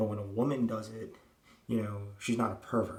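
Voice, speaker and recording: Quietly and at a fairly quick pace, a man speaks in a fairly low pitch with fairly even intonation, over noticeable background noise and audible room echo. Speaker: vlogger. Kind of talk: casual monologue. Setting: at home. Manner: speaking quietly.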